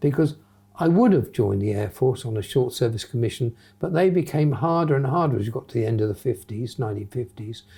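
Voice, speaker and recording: At a very fast pace, a man with a southern English accent speaks in a somewhat breathy, dark, mellow voice at medium pitch, his intonation lively. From southern England, Hampshire. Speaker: retired airline pilot. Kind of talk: interview.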